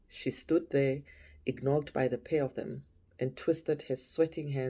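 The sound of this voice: The intonation is fairly even. The reading voice sounds unforced.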